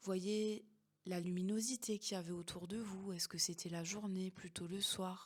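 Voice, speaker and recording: A woman speaks at a medium pitch in a monotone, flat way. Her voice is somewhat breathy. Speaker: hypnotherapist and coach. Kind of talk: guided meditation. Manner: slow, soft-spoken.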